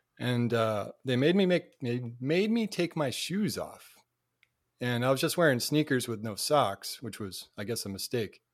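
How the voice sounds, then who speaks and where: This man has an ordinary speaking voice with an American accent, medium pitch and lively intonation at a fairly slow pace. The recording is very clean, with a silent background. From Cape Cod, Massachusetts. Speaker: YouTuber. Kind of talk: casual chat.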